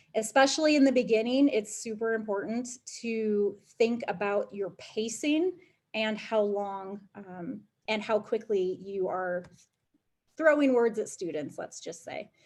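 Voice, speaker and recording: In a plain, everyday voice, a woman with a fairly high pitch speaks at a fairly slow pace, her intonation lively and her loudness swinging widely. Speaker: education program manager and teacher. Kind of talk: webinar presentation.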